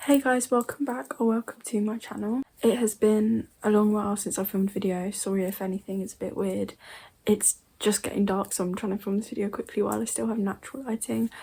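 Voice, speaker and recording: A woman speaks at a fairly quick pace in a dark, mellow, somewhat breathy tone. Her pitch is medium and her intonation fairly even. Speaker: YouTuber reacting to scary videos. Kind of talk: casual reaction commentary.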